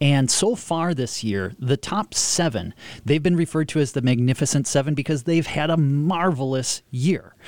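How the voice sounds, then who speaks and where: A man's normal speaking voice, fairly high in pitch, with lively intonation, a moderate pace, hardly any pauses and very even loudness. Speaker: economist. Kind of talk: radio discussion. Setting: studio.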